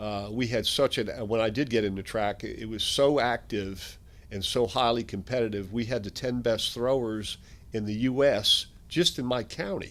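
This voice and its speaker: With an American accent, a man speaks in an unremarkable speaking voice at medium pitch, moderate pace and fairly even intonation. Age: 60s. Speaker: strength equipment company founder. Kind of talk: interview.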